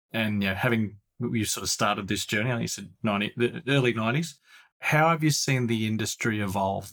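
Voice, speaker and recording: In a very clean recording with a silent background, a man speaks fairly quickly at a medium pitch with ordinary pitch variation and an unremarkable speaking voice. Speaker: podcast co-host and product executive. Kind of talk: podcast interview.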